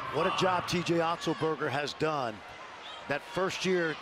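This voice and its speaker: A man with a fairly high pitch talks while noticeable background noise carries on behind him. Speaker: color commentator. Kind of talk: live sports analysis.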